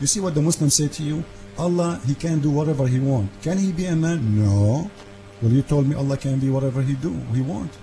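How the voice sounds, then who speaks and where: A man with a fairly high pitch talks at a fairly quick pace with lively intonation while music plays in the background. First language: Arabic. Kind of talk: heated debate. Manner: animated.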